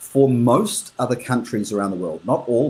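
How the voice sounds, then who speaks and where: Somewhat breathy and dark, mellow in tone, a man speaks at a moderate pace and medium pitch with lively intonation. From New Zealand. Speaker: international business professional. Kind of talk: interview conversation. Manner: hesitant, with fillers and repeats.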